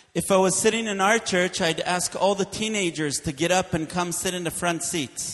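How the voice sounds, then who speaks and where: A high-pitched man at a moderate pace with hardly any pauses and fairly even intonation, against noticeable background noise. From Israel. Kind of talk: sermon with interpreter.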